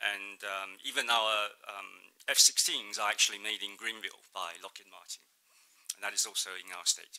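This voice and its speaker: With a Mandarin accent, a man speaks at a moderate pace in a fairly low voice with a bright, sharp tone. His intonation stays fairly even while his loudness swings widely. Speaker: state trade representative. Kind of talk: conference presentation. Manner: hesitant, many fillers.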